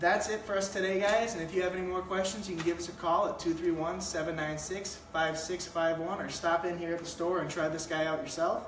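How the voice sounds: Few pauses break a man's fairly quick, high-pitched speech, which shows little pitch movement amid audible room echo.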